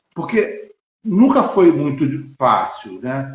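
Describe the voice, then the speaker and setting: Lively intonation marks a man's very slow speech. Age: 60s. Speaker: lawyer and physical education teacher. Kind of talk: interview on a live stream. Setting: live stream video call. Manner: halting, many fillers.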